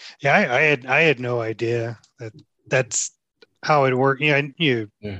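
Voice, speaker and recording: With a Texan accent, a man speaks at a moderate pace and medium pitch, with ordinary pitch variation, big swings in loudness, a bright, sharp tone and long, frequent pauses, all in a dry, close sound with no echo. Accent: Texan American. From Houston, Texas. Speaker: cycling podcast host. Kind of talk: casual interview chat; scripted announcements. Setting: outdoors at a ride. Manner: halting, many fillers.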